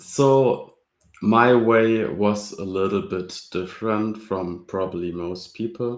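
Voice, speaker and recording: A man with a German accent speaks at a very slow pace. His pitch is fairly low, with ordinary variation. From Germany. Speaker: open source library creator, student. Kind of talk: casual interview.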